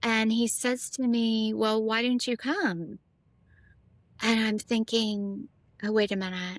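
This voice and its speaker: A woman's fairly high voice at a very slow pace, with long, frequent pauses and fairly even intonation. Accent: American. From US South, Nashville. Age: 50s. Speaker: former international model. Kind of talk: casual interview chat.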